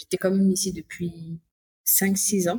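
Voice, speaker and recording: A woman with a medium-pitched, somewhat breathy voice speaks at a moderate pace. The sound is dry and close, with no echo. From Congo-Brazzaville. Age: 30s. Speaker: returnee to Africa. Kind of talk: interview.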